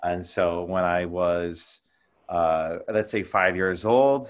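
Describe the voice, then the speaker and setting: In a quiet background, a man with a fairly low pitch speaks in an ordinary speaking voice with fairly even intonation. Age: 30s. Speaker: Greek Orthodox priest. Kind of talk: casual interview.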